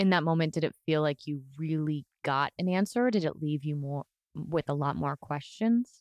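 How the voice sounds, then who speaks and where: A woman's very deep, low voice at a moderate pace with ordinary pitch variation, dry and close with no echo against a quiet background. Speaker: podcast host. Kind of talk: casual interview chat. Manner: loud, excited.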